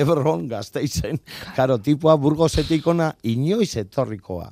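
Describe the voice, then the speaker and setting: Against a silent background in a very clean recording, a man speaks with a dark, mellow tone. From Bilbao, Basque Country. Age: 50s. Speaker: bus passenger honoured for driving bus. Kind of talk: radio interview.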